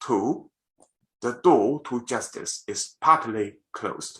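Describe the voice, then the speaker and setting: A man with a Chinese accent speaks at a fairly slow pace. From China. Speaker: lawyer. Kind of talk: parliamentary submission speech. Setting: video call. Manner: formal.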